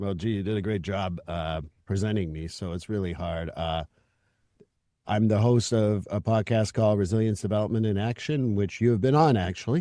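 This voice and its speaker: Captured in a very clean recording with a silent background, a man with a fairly low pitch and a dark, mellow tone shows ordinary pitch variation. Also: moderate pace. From Quebec, Montreal. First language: French. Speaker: therapist and podcast host. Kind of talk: podcast interview.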